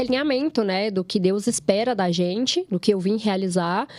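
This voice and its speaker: Noticeable background noise sits behind a woman with a fairly high pitch and lively intonation. Her moderate-paced delivery sounds dry and close, with no echo. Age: 30s. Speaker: podcast co-host. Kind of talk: casual chat.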